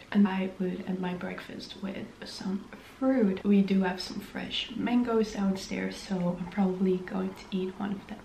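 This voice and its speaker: Over light background noise and audible room echo, a woman speaks fairly slowly in a monotone, flat intonation. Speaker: vlogger. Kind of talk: casual vlog chat. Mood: nervous, chatty. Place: home room. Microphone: camera far.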